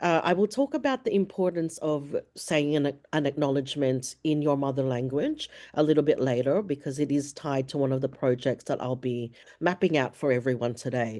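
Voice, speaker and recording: A woman speaks with a very deep, low pitch and a dark, mellow tone. Her pitch varies in an ordinary way over a quiet background. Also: moderate pace. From Filipino background. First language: Ilocano. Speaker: academic diversity and inclusion coordinator. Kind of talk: webinar presentation.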